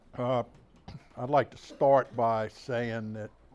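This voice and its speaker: A man speaks quietly at medium pitch with a Mississippi Gulf Coast accent. His pace is very slow. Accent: Southern US (Mississippi Gulf Coast). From US South, Bay Saint Louis, Mississippi. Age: 70s. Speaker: author and local historian. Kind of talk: public talk. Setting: talk to an audience in a historic house. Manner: hesitant, many fillers; too quiet for the back of the room.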